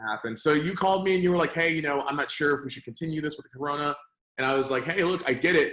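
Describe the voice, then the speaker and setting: Speaking very fast in a fairly high voice, a man keeps ordinary pitch variation while his loudness swings widely. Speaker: lead generation business owner. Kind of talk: casual interview. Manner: animated.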